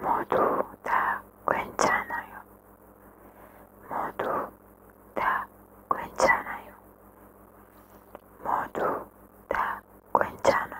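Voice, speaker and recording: A woman whispers at a very slow pace, with long, frequent pauses between her words. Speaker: ASMR creator. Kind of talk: ASMR positive affirmations. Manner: whispered; slow, repetitive. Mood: calm, soothing. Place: home room. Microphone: studio mic.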